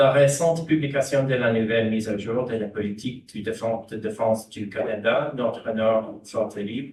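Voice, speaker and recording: With an English accent, the speaker keeps a moderate pace with hardly any pauses. The voice is somewhat breathy, with fairly even intonation. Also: man, medium pitch for a man. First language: English (speaking French). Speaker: diplomat. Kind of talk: prepared panel speech. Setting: conference panel. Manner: halting, with false starts.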